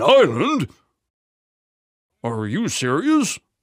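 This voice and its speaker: A man speaks here. He uses a cartoonish character voice. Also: fairly high pitch for a man. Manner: hesitant, stammering.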